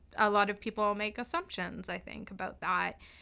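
Medium-pitched speech from a woman with a Canadian accent, bright and sharp in tone, on a very clean recording with a silent background. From northern Vancouver Island, Canada. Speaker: law student. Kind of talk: interview conversation. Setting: studio.

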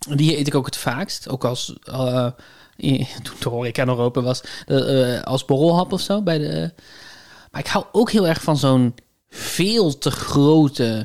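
The recording is very clean, with a silent background. Speech comes at a very slow pace. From Netherlands, north of the rivers. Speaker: podcast co-host. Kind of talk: casual chat. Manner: hesitant, many fillers.

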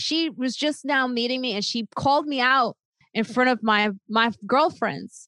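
With an American accent, a woman speaks slowly-ish, at a fairly slow pace, in a high, bright, sharp voice with ordinary pitch variation. The sound is dry and close, with no echo. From Chicago area, Illinois. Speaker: comedian. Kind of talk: interview, personal story. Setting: video call.

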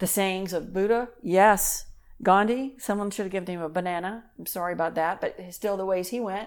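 At a fairly quick pace, a woman with a Texan accent speaks at medium pitch with fairly even intonation. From Texas. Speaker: minister. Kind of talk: casual chat.

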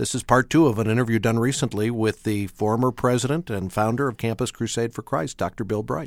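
Speaking at a fairly quick pace with hardly any pauses, a man has a plain, everyday voice at medium pitch with ordinary pitch variation, heard in a very clean recording with a silent background. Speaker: radio co-host and announcer. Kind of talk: radio broadcast. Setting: studio.

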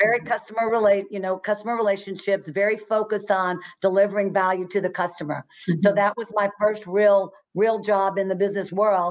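In a Texan accent, a woman talks fairly quickly at a medium pitch. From Texas, Fort Worth. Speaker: retired executive and business coach. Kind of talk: interview. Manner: animated.

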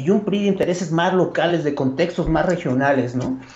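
This man talks in a high pitch. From State of Mexico. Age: 50s. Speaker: political analyst. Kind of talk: political analysis conversation. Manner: formal.

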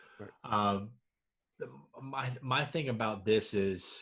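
In an American accent, a man with a fairly low pitch and ordinary pitch variation speaks in an unremarkable speaking voice. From US South, Georgia. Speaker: sports podcast co-host. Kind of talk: casual chat.

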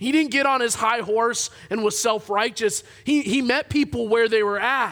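A man's extremely high voice, bright and sharp, animated, at a moderate pace with ordinary pitch variation and very even loudness. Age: 30s. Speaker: pastor. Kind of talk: sermon. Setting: church.

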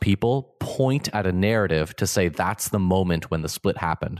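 An ordinary speaking voice comes from a man with a Canadian accent and a fairly low pitch, recorded dry and close with no echo against a quiet background. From Ontario, Canada. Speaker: Orthodox priest and podcast host. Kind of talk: casual conversation about theology.

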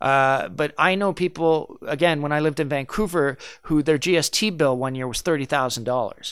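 A man's fairly high voice at a fairly quick pace, ordinary pitch variation, hardly any pauses, on a very clean recording with a silent background. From Canada, French Canadian family. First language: French. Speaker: actor and comedian. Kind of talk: casual interview.

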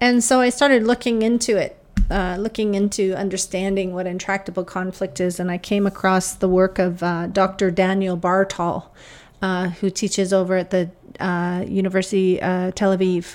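A woman with a plain, everyday voice speaks in a Canadian accent at a medium pitch and a moderate pace. Her intonation stays fairly even, and the recording is very clean with a silent background. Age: 50s. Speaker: podcast host, academic. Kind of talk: casual monologue, storytelling. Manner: many filler uhs.

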